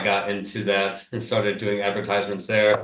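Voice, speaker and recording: Audible room echo follows a man with a Northeastern US accent as he talks at a fairly quick pace and a fairly low pitch. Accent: US Northeast English. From upstate New York. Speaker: agency founder. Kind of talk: podcast interview.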